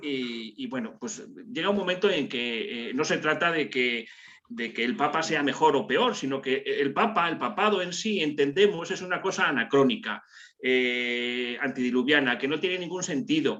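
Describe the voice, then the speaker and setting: Very wide pitch swings run through the speech over noticeable background noise. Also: man, fairly high pitch for a man, moderate pace. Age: 60s. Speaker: participant in a religious discussion group. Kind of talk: group video call discussion. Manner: hesitant, many fillers and repetitions.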